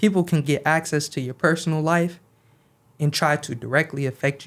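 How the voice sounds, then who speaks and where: A man with a fairly high pitch, fairly even intonation and a fairly quick pace. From US Midwest, Grand Rapids, Michigan. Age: young. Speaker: community activist. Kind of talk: podcast interview.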